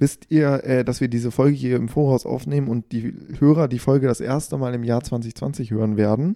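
A man with a dark, mellow tone talks at a moderate pace and a medium pitch, keeping his intonation fairly even. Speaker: podcast host. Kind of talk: casual chat. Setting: at home.

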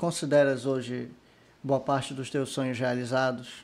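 The delivery comes at a fairly slow pace. It is a normal speaking voice. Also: man. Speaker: podcast host. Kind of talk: casual interview. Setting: studio, live video stream.

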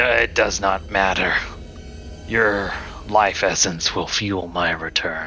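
Cackling in a put-on character voice, a man talks at a fairly slow pace with a fairly low pitch and long, frequent pauses over clear background noise. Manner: cackling, menacing.

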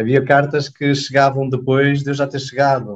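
A man talks in a fairly high pitch, and his voice is somewhat breathy. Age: 30s. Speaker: clinic manager, former volunteer. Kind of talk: casual interview.

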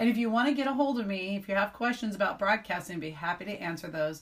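The woman's intonation is lively. She talks at a very fast pace. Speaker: radio DJ and station owner. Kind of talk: interview.

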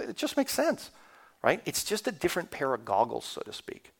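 On a very clean recording with a silent background, a man with a Canadian accent talks very fast, his pitch swinging very widely. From Canada. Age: 50s. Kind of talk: sermon. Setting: church.

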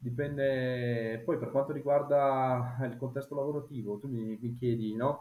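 A man talks at a fairly slow pace with a medium pitch and hardly any pauses. His intonation is flat and monotone. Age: 30s. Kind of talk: casual chat.

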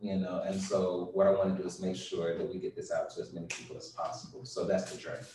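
Over noticeable background noise and audible room echo, a man with an American accent talks very fast with hardly any pauses. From US South. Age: 30s. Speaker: father and business owner. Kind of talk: interview.

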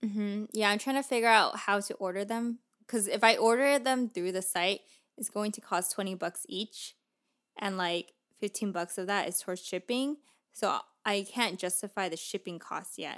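A woman talks at a moderate pace in a normal speaking voice, medium in pitch with ordinary pitch variation, on a very clean recording with a silent background. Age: 20s. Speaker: podcast co-host, new parent. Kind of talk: casual chat.

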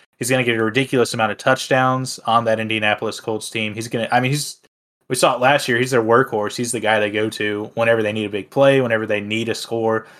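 A man's medium-pitched voice at a very fast pace, monotone and flat, on a very clean recording with a silent background. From Tennessee, near Nashville. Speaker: fantasy football podcast co-host. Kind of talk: casual chat. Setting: recording studio.

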